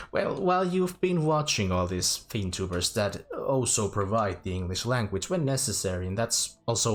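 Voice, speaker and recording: The speaker has a Finnish accent and very wide pitch swings. The pace is moderate, with hardly any pauses. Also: man. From Finland. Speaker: VTuber game streamer. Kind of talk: casual livestream chat. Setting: live stream. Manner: halting.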